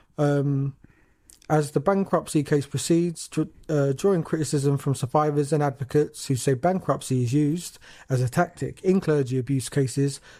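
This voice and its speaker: On a very clean recording with a silent background, a man with a British accent and a dark, mellow tone speaks at a moderate pace, his fairly high pitch held in fairly even intonation. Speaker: podcast co-host. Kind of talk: casual chat, reading news aloud.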